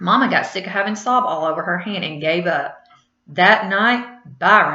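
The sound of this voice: A quiet background sits behind an unforced reading voice full of lively intonation.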